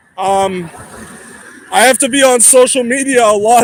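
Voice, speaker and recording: A loud man with an American accent, fairly slow and fairly even in intonation, over noticeable background noise. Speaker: livestreamer. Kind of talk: casual livestream chat while walking. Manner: rambling, halting.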